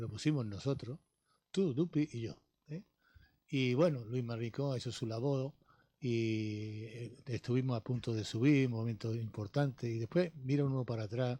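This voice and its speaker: On a very clean recording with a silent background, a man with a medium pitch and a dark, mellow, somewhat breathy tone speaks at a moderate pace with ordinary pitch variation. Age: 70s. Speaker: sports pundit, former local politician. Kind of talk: radio sports talk panel.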